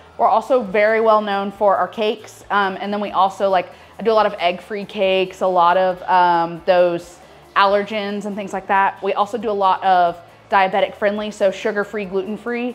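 A woman talks at a moderate pace in a flat, monotone delivery while faint music plays behind her. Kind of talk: interview answer. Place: shop.

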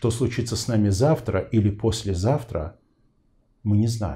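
A man speaks at a very slow pace with ordinary pitch variation. His tone is dark and mellow, and somewhat breathy. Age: 40s. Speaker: interview show host; interview host. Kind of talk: interview.

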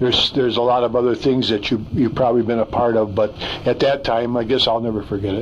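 Talking at a very fast pace, a man keeps a monotone, flat intonation over light background noise. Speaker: interviewee. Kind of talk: interview answer. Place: studio.

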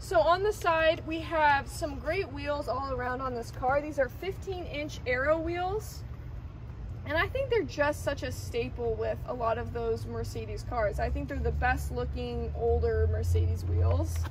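A woman at a fairly slow pace amid noticeable background noise. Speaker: presenter. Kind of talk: product walkaround commentary. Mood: enthusiastic, upbeat. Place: street.

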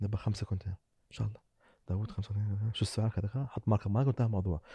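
Against a quiet background, a man speaks in a dark, mellow, somewhat breathy tone with a dry sound and no echo. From UAE. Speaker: business owner; podcast guest. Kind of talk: casual chat. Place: studio. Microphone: studio mic.

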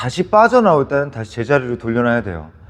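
A man speaks with very wide pitch swings. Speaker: dance instructor. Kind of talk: tutorial.

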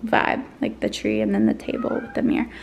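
The speaker has an American accent. The pace is fairly quick. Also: woman. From New Jersey. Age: 20s. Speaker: lifestyle vlogger. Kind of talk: casual vlog chat. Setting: at home in her apartment. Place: home room. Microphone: phone near.

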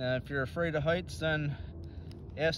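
A man talks at a moderate pace in a dry sound with no echo. Noticeable background noise runs underneath. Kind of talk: tutorial. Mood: casual, encouraging. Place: open country. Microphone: phone near.

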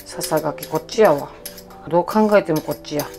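A woman's fairly low voice with a Kansai accent, ordinary pitch variation, and clear music in the background. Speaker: comedian. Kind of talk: casual cooking talk to camera. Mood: warm, encouraging, humorous. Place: kitchen. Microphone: phone near.

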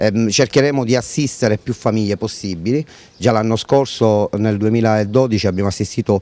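A man speaks at a moderate pace with a dark, mellow tone and a fairly low pitch. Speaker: charity organization head. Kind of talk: news interview. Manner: hesitant with fillers. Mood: earnest, serious. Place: street. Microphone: handheld.

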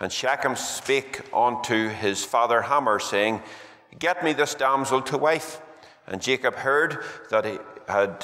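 Pitch variation is ordinary for this man. He keeps to a fairly slow pace. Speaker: preacher. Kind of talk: scripture reading in a sermon. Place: church. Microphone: podium.

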